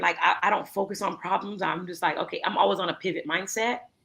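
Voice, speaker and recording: Speaking very fast in an animated tone, a woman talks with an American accent. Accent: thick American accent when speaking Creole. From US, North Miami (Haitian-American). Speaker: entrepreneur in waste management. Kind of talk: interview conversation. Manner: animated, repetitive fillers.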